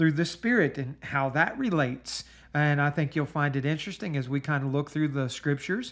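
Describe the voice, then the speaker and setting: Fairly high in pitch with ordinary variation, a man talks at a fairly quick speed. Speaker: podcast host and Bible teacher. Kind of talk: Bible study teaching. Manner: animated.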